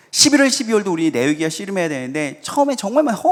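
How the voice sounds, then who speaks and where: Background noise is noticeable throughout. This man races along very fast, his pitch swinging very widely. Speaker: pastor. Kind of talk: sermon.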